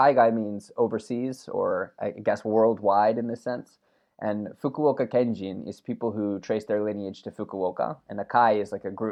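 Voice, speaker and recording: An ordinary speaking voice from a man, fairly low in pitch, at a moderate pace with fairly even intonation. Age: 30s. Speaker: podcast co-host. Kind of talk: casual chat. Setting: remote call.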